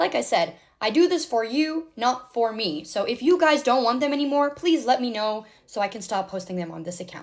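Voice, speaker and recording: A woman with an American accent talks fairly quickly at a fairly high pitch, with very wide pitch swings and big shifts in loudness. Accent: American accent picked up in Canada. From South Africa. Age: 20s. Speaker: social media influencer. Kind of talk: get-ready-with-me vlog talk. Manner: casual, chatty.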